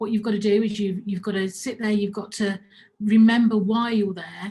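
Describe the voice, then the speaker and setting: Somewhat breathy, a woman speaks with a fairly high pitch and fairly even intonation. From Birmingham, England. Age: 50s. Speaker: business owner. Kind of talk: talk to camera. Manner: halting, many repetitions.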